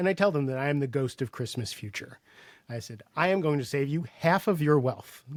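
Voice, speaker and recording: The recording is very clean, with a silent background. A man of medium pitch speaks at a moderate pace. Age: 60s. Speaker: sales coach and author. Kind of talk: podcast interview. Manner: halting, many repetitions and fillers.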